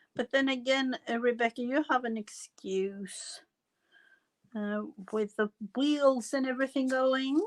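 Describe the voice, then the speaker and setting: Her voice high and her pace fairly slow, a woman speaks with long, frequent pauses in a dry, close sound with no echo. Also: fairly even intonation. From foreign country, non-English-speaking. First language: not English. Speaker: crafting livestream host. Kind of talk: casual livestream chat while crafting. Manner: halting, many fillers.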